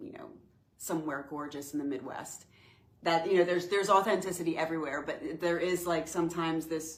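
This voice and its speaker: A woman with a New Jersey accent, fairly low-pitched, at a fairly quick pace with fairly even intonation, big swings in loudness, and audible room echo. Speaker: spiritual retreat host. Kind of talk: casual chat.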